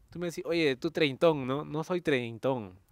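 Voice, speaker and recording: Using a normal speaking voice, a man talks at a moderate pace with fairly high pitch and lively intonation. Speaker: podcast host. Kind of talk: casual chat.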